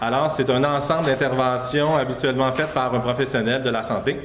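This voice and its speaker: The speech moves at a fairly quick pace with fairly even intonation, over noticeable background noise and audible room echo. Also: man. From Quebec, Saguenay-Lac-Saint-Jean. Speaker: public health communications advisor. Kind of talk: conference presentation. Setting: conference stage with audience. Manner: fast; hesitant, many fillers.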